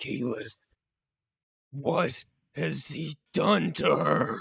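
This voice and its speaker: Using a raspy, put-on character voice, a man speaks at a very slow pace. His pitch is fairly high. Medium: actual play.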